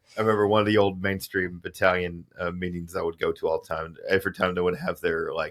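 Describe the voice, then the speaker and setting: Over a silent background in a very clean recording, a man with a slight Southern US accent talks at a very fast pace. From Alabama. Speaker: podcast host. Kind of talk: casual chat. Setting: studio.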